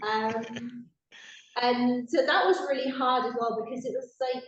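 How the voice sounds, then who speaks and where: Speaking in a Welsh accent, a woman talks at a high pitch. Her pace is fairly slow. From South Wales. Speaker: expat interviewee. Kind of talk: casual interview.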